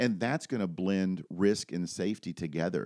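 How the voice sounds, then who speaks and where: A man with a normal speaking voice talks at a fairly low pitch and with lively intonation. The very clean recording has a silent background and a dry, close sound with no echo. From Florida, US (Daytona Beach). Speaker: firearms and active shooter trainer, retired police officer. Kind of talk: podcast interview. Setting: office.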